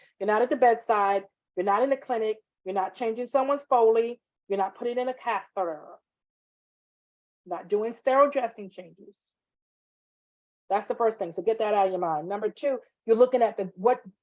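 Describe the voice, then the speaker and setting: An animated delivery at a fairly quick pace, with ordinary pitch variation and long, frequent pauses. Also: woman, fairly high pitch for a woman. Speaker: nursing instructor. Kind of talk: online class lecture. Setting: live video class.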